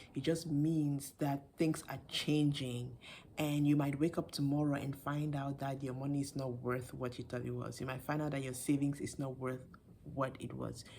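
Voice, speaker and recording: A soft-spoken woman talks at a moderate pace in a very deep, low voice with a dark, mellow tone and flat, monotone intonation. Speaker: video blogger. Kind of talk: casual commentary. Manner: halting.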